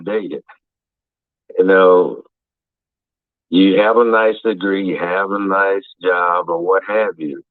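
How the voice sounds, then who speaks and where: The voice belongs to a man with a fairly low pitch. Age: 60s. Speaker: caller. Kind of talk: casual chat.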